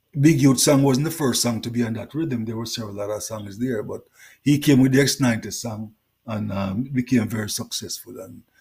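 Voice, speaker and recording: With a Jamaican accent, the speaker talks at a fairly quick pace in a somewhat breathy voice with a dark, mellow tone. The loudness swings widely. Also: man, medium pitch for a man, ordinary pitch variation. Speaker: reggae singer. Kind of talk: interview.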